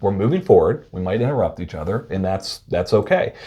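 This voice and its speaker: This male speaker's voice carries a dark, mellow tone. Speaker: behavioral health consultant. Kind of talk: casual chat. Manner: fast.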